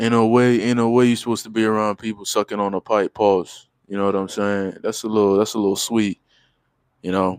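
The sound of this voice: A man's fairly low, slightly mellow voice, clear and smooth in tone, with little pitch movement, a fairly quick pace and a dry, close sound with no echo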